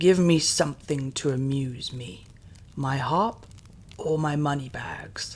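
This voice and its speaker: A man's booming, put-on character voice at a fairly high pitch and fairly slow pace. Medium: read story. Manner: brusque, commanding.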